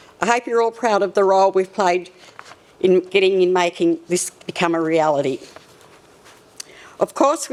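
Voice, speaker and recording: Noticeable background noise sits behind a woman speaking at a fairly quick pace. Her pitch is medium with ordinary variation. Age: 70s. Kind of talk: formal farewell speech. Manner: halting, with self-corrections.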